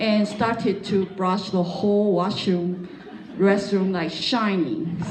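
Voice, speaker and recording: With audible room echo and noticeable background noise, a woman at medium pitch speaks at a very slow pace. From Taiwan, Taipei. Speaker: pastor's wife. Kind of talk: testimony interview. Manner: halting, many fillers.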